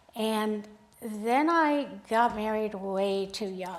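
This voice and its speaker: Audible room echo surrounds a woman's voice at a fairly high pitch. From Sacramento, California (born Hungary, lived in Belgium and Montreal as a child). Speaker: photographer. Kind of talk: talk to a club audience. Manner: halting.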